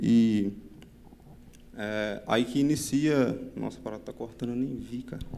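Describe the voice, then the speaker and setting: There is audible room echo around a man speaking with fairly even intonation. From Brazil, Minas Gerais. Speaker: software developer, conference speaker. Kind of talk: technical conference talk. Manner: fast; halting, many fillers and repetitions.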